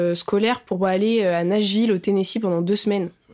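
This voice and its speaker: This woman has a normal speaking voice at a medium pitch. Her intonation stays fairly even. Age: 20s. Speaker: actress and musician. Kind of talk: casual chat.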